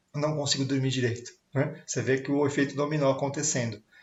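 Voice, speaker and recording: Fairly high, somewhat breathy speech from a man. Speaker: sales coach. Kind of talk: online talk on sales. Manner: casual, filler-heavy.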